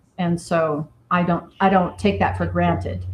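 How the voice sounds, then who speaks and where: A somewhat breathy woman's voice, fairly low in pitch, with an American accent and a moderate pace. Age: 50s. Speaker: cidermaker and business founder. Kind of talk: interview.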